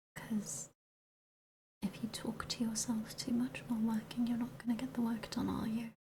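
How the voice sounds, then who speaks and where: Moderate pace, soft-spoken. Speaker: streamer. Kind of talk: ASMR soft-spoken work session.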